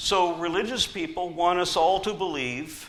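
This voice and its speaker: A high-pitched man with an American accent speaks at a fairly slow pace in a bright, sharp tone. Audible room echo surrounds him. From US South. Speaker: atheist activist speaker. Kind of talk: conference talk. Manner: animated.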